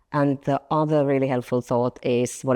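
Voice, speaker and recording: A woman's very deep, low-pitched voice with a dark, mellow tone and a Finnish accent, at a moderate pace, in a dry, close sound with no echo against a quiet background. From Finland, small town. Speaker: marketing director. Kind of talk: interview. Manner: hesitant, many fillers.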